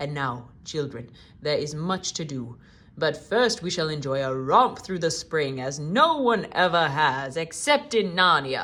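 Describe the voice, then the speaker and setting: A put-on character voice at a middle pitch speaks at a fairly slow pace on a very clean recording with a silent background. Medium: read story. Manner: calm, warm, dignified.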